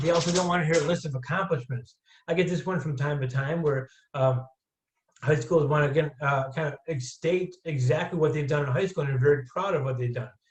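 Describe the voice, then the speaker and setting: Somewhat breathy, a man speaks at a fairly high pitch and a fairly quick pace, with fairly even intonation. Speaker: college admissions counselor. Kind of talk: webinar presentation. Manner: fast.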